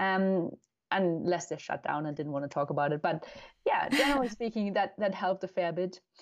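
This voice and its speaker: A woman speaks with a German accent at a fairly quick pace. Her pitch is medium and her intonation lively. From Germany. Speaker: neuroscientist and endurance cyclist. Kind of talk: casual interview.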